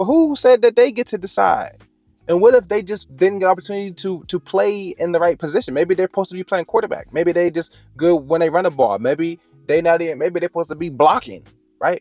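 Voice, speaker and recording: At a very fast pace, a man with a high pitch and ordinary pitch variation comes through in a dry, close sound with no echo. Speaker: faith-based motivational speaker. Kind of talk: motivational talk. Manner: halting.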